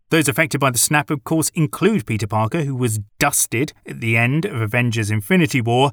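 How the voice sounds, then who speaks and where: A man with a British accent speaks with lively intonation, recorded with a dry, close sound and no echo. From Britain. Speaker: film critic podcaster. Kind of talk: film review monologue.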